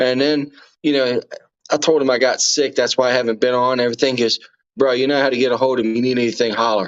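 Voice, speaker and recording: A very fast, flat, monotone man's voice at a medium pitch with very even loudness, in a Texas accent. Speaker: live streamer. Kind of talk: casual chat.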